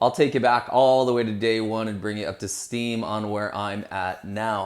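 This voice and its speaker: A man with a plain, everyday voice talks at a moderate pace, his fairly low pitch carrying fairly even intonation. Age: 40s. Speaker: vlogger. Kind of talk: casual vlog monologue. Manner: conversational, with fillers.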